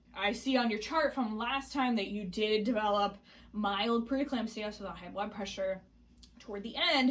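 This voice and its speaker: Her pitch shows ordinary variation. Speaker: pregnancy vlogger. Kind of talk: casual vlog. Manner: fast.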